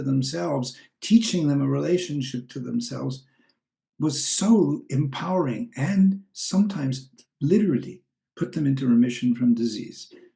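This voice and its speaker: Somewhat breathy and dark, mellow in tone, a man's fairly high voice moves at a moderate pace. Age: 70s. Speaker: spiritual teacher and author. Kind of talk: personal appeal. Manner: reflective, slightly halting.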